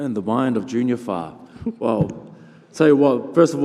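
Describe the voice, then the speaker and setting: A man with a New Zealand accent at a moderate pace, over noticeable background noise. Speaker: heavyweight boxer. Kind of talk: press conference interview.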